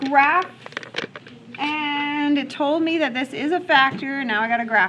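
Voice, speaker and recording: A woman's raised, projected voice, high in pitch, with ordinary pitch variation, a fairly slow pace and noticeable background noise. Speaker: math teacher. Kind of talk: classroom lecture. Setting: classroom.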